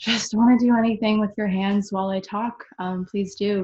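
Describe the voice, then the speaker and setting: At a moderate pace, a woman with an American accent speaks in a somewhat breathy voice at medium pitch. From Arizona, Cave Creek near Phoenix. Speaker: artist and tech worker leading a workshop. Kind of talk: casual webinar talk. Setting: video call webinar. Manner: hesitant, many fillers.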